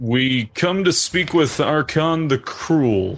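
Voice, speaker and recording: Against a quiet background, a man uses a put-on character voice, fairly high in pitch, at a very slow pace. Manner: formal, diplomatic.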